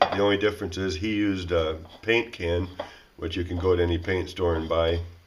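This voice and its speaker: A man talks at a fairly quick pace in a very deep, low voice with monotone, flat intonation. Noticeable background noise and audible room echo surround him. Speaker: DIY outdoors channel host. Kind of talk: tutorial. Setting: cold workshop. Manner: casual.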